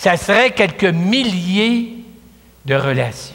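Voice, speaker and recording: A man speaks with a Quebec accent in a raised, projected voice. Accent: Québécois French. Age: 70s. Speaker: priest. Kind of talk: sermon. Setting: church. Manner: conversational.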